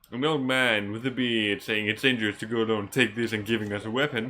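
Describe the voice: This man has a fairly bright tone and fairly even intonation.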